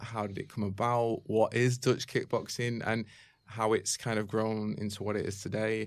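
A man speaks at a medium pitch with fairly even intonation. The recording is very clean, with a silent background. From Manchester, England. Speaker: martial arts video site creator. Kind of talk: casual interview chat. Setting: studio.

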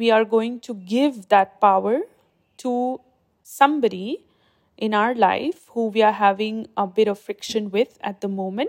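A woman's fairly slow, fairly high, ordinary speaking voice with ordinary pitch variation, in dry, close sound with no echo. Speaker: meditation guide. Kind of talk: guided meditation. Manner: slow, soft, soothing; calm, gentle, measured.

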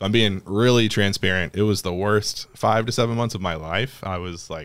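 This is an unremarkable speaking voice from a man with an American accent, fairly low in pitch and moving at a moderate pace. His intonation stays fairly even on a very clean recording with a silent background. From US South, Mississippi. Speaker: coffee shop owner and podcast host. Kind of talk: casual chat.

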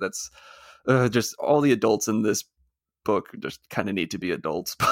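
A man with a plain, everyday voice speaks at a medium pitch and a fairly quick pace, in a very clean recording with a silent background and a dry, close sound with no echo. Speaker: co-host of a movie podcast. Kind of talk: casual chat.

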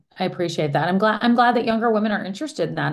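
Speaking very fast with an American accent, a woman uses lively intonation at a medium pitch. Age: middle-aged. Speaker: journalist and author. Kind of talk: interview.

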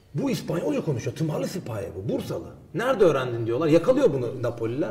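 Over noticeable background noise, a man talks very fast at a fairly high pitch with very wide pitch swings. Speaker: historian. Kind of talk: interview. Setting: studio.

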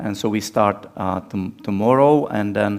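A man with a non-native accent speaks fairly slowly at a fairly low pitch on a very clean recording with a silent background. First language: Czech. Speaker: missionary preacher. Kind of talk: sermon. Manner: halting with many fillers.

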